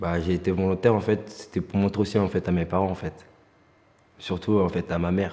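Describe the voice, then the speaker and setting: A man's very deep, low voice, dark and mellow in tone, flat and monotone, at a fairly quick pace. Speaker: young volunteer in a job-training programme. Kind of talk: testimony.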